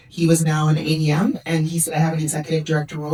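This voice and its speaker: A woman with a very deep, low pitch talks very fast in a Canadian accent. Her intonation is fairly even, and there is noticeable background noise. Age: 50s. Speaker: senior government official. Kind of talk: conference panel Q&A answer. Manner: hesitant fillers.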